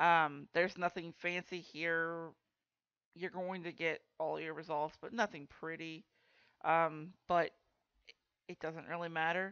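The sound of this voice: Speaking fairly slowly, a woman uses a low pitch and a clear, smooth, fairly bright tone with fairly even intonation.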